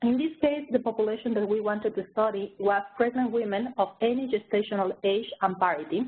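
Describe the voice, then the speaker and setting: A woman talks at a moderate pace in a fairly high voice with ordinary pitch variation. Hers is an unremarkable speaking voice. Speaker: research director presenting a review. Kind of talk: webinar presentation. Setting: online webinar.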